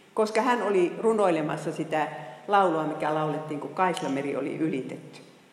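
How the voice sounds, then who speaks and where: A woman speaks with lively intonation amid audible room echo and noticeable background noise. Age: 60s. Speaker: Bible teacher. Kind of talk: lecture. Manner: halting.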